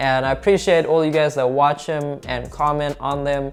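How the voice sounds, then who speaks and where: With music in the background, a man speaks at a moderate pace and a fairly high pitch. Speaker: car repair YouTuber. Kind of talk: casual vlog talk to camera. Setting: home desk setup with camera. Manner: animated.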